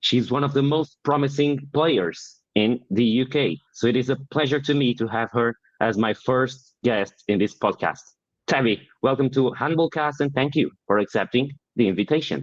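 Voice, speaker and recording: With a Portuguese accent, a man of medium pitch speaks at a moderate pace, with ordinary pitch variation and very even loudness. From Portugal. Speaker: podcast host. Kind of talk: interview.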